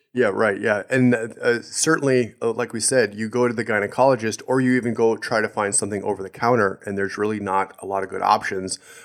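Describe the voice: The voice sounds nasal and moves at a fast pace, with few pauses and little pitch movement. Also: man, fairly low pitch for a man.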